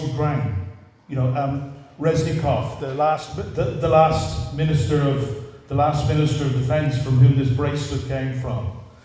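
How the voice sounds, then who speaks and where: Against noticeable background noise and audible room echo, a man talks at a fairly slow pace with fairly even intonation. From Ireland. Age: 60s. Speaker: communications expert, panelist. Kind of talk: panel talk to a live audience. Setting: stage with audience at a cultural centre.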